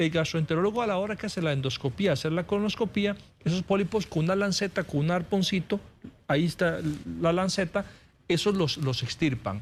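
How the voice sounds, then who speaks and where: This man speaks at a fairly quick pace in a high pitch. His pitch varies an ordinary amount. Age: 40s. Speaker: surgical oncologist. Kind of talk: TV interview.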